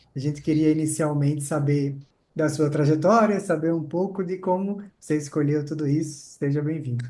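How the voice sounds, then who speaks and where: At a moderate pace, a man speaks with fairly even intonation in a dark, mellow, somewhat breathy tone at a fairly high pitch. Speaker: podcast host.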